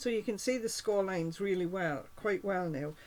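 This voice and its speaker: An unremarkable speaking voice from a woman at medium pitch, with ordinary pitch variation and a moderate pace. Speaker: cardmaking demonstrator. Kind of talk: tutorial.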